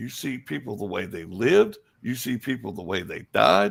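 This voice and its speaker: On a very clean recording with a silent background, a man with a Southern US accent and vocal fry speaks at a moderate pace, his medium pitch making very wide swings. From US South. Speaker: psychic. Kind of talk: interview.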